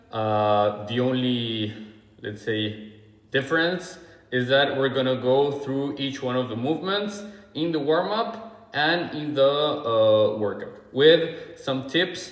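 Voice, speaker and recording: A man's very slow speech with audible room echo. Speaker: fitness coach. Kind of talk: tutorial. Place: gym. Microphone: phone near.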